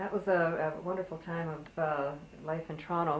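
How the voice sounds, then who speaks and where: A woman at a fairly quick pace with a fairly low pitch. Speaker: oral history interviewer. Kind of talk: oral history interview. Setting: interviewee's home. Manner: hesitant, many fillers.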